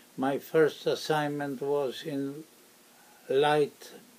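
At a very slow pace, a man with a Polish accent speaks at a fairly high pitch. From Poland. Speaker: war veteran. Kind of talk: oral history interview. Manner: halting, many fillers.

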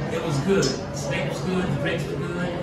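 The recording has clear music in the background and audible room echo. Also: man. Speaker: restaurant vlogger. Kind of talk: casual vlog chat. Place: hall.

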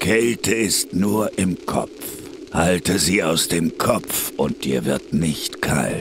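Over clear background noise, a man speaks at a very slow pace. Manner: terse, menacing.

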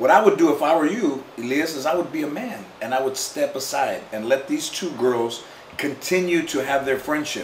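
A man talks at a fairly slow pace. Light background noise and audible room echo are present. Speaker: talk show host answering viewer. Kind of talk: casual comedic advice to camera. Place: home room.

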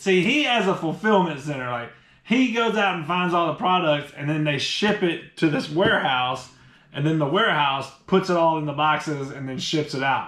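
In a room with audible echo and a quiet background, a man speaks at a moderate pace with ordinary pitch variation. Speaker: product reviewer. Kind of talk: casual unboxing review chat. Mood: amused, joking. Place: home room. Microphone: camera far.

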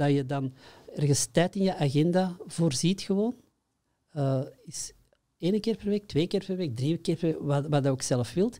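A man with a slight Flemish accent speaks at a fairly slow pace in a high voice, his tone dark and mellow, his pitch varying in an ordinary way, with long, frequent pauses against a quiet background. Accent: Flemish, mild. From Belgium, Antwerp; Belgium. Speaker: workshop trainer in consciousness programs. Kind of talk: interview. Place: studio. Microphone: studio mic.

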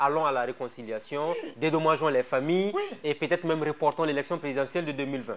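Over light background noise, a man speaks at a very fast pace with fairly even intonation. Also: fairly high pitch for a man. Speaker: TV talk show host. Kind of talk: TV interview. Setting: TV studio. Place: studio. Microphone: lapel.

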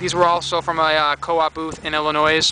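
Over light background noise, a man talks fairly quickly in a high voice, the sound dry with no echo. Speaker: reseller. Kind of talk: casual vlog chat. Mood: upbeat, pleased with finds. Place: garden. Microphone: phone near.

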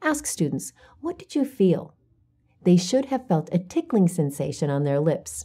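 Dark and mellow in tone, the somewhat breathy voice makes very wide pitch swings against a quiet background. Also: woman. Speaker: teacher-guide presenter. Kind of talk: instructional narration. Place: studio. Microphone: lapel.

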